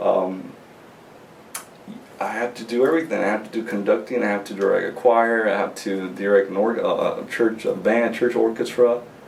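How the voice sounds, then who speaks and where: Noticeable background noise and audible room echo surround the voice. A man talks at a moderate pace. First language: not English. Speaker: graduate music student. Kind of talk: interview. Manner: halting, many repetitions and fillers.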